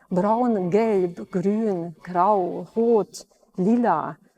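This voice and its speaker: A woman speaks with a Hungarian accent, the sound dry and close with no echo. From Transylvania, Romania (Hungarian-speaking). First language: Hungarian (speaking German). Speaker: orchestra violinist. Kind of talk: personal interview monologue. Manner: hesitant with filler sounds.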